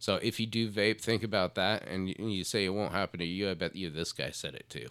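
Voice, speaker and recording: On a very clean recording with a silent background, a man speaks in a very deep, low pitch with vocal fry. His loudness swings widely. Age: 30s. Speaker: podcast co-host. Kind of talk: casual chat. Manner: halting.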